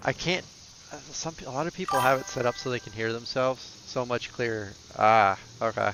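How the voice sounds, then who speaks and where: A man with an American accent talks at a medium pitch while music plays in the background. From US Northeast, Boston. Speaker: gaming streamer. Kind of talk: casual chat.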